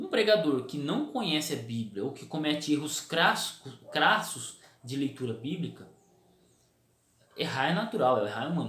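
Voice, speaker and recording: Audible room echo carries a man's speech, which has long, frequent pauses and big swings in loudness. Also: fairly high pitch for a man, moderate pace. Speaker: preacher and theology video host. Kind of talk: casual talk to camera. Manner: repetitive filler stammers.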